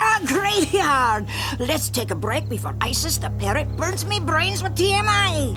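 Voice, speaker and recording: A female-sounding, cartoonish character voice moves at a moderate pace over loud music in the background. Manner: boisterous, blustering, laughing.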